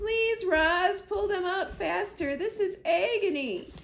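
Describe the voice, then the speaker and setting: A put-on character voice, squeaky and extremely high. It moves at a fairly slow pace. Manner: through gritted teeth, pained.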